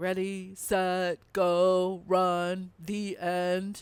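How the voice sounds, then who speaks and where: A put-on character voice sits at a middle pitch. The intonation stays flat and monotone. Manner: deadpan, sarcastic.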